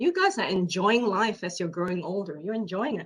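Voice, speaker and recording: The voice is somewhat breathy, with lively intonation. It moves at a fairly quick pace. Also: woman. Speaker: keynote speaker. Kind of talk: presentation.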